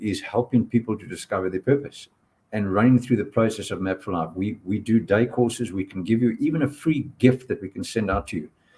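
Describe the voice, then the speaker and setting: A man's somewhat breathy, dark, mellow voice at medium pitch, fairly quick in pace, with ordinary pitch variation. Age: 60s. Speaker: purpose coach and workshop presenter. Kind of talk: panel discussion on live stream.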